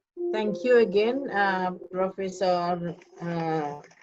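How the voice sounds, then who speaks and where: There is audible room echo around a woman at a medium pitch. She speaks at a very slow pace with ordinary pitch variation. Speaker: university lecturer. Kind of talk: online lecture moderation. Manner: hesitant, many fillers.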